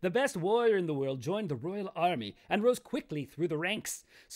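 Lively intonation in an unforced reading voice

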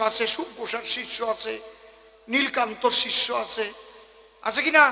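With noticeable background noise around him, a man speaks in an animated tone at an extremely high pitch. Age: 60s. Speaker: kabigaan folk singer and preacher. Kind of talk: religious discourse to audience.

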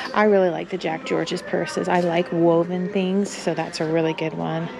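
A woman's voice with ordinary pitch variation, over noticeable background noise. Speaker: thrift reseller vlogger. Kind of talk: casual vlog chat. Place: shop. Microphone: phone near.

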